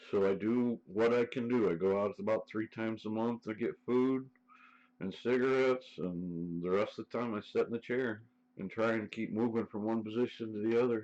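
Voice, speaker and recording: In an Ohio accent, a man speaks at a moderate pace with a medium pitch. His intonation is fairly even, and the background is quiet. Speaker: live streamer. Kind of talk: casual chat.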